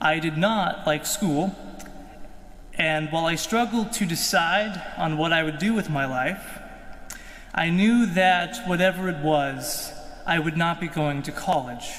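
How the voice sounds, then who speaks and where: A man with a Midwestern American accent talks at a fairly slow pace in a high pitch with ordinary pitch variation, amid noticeable background noise and audible room echo. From Kansas, US. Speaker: seminarian. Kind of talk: testimony.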